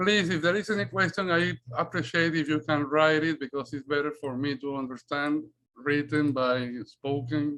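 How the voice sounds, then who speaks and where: A man with a strong Spanish accent speaks at a moderate pace with ordinary pitch variation. His voice is fairly high-pitched, with a bright, sharp tone. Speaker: Spanish teacher and researcher. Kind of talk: academic presentation. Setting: video call. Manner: halting.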